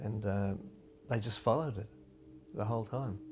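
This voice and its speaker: Music plays in the background as a man speaks with an Australian accent. His pitch is fairly low, with ordinary variation. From Western Australia, Bibra Lake area. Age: 70s. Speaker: local resident recalling wartime. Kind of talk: interview testimony.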